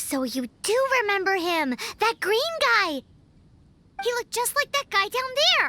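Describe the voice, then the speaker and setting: An extremely high-pitched, cartoonish character voice comes with long, frequent pauses. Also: moderate pace. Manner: chatty, excitable.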